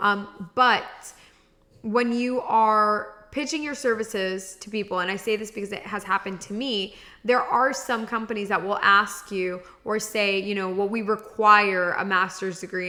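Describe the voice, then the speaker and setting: A woman at a medium pitch, moderate pace and fairly even intonation. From Miami. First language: Spanish. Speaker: podcast host, grant writing coach. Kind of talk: podcast monologue. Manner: casual, many fillers.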